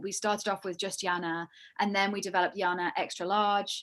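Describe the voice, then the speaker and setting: This woman talks at a fairly quick pace with a British accent, her medium pitch held in fairly even intonation. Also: very clean recording, silent background. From UK. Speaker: yarn company creative director. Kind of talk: casual interview chat.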